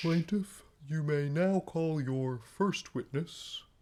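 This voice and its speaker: Putting on a character voice, a man speaks at a very slow pace and a fairly high pitch. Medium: stage play. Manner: formal, measured.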